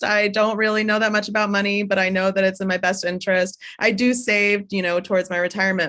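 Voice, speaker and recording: This woman has an ordinary speaking voice pitched in the medium range. She talks at a moderate pace. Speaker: director of the virtual Y, event host. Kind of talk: webinar host talk.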